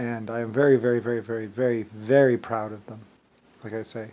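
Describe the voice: A man talks at a fairly quick pace with a slightly mellow tone. His medium pitch moves very little.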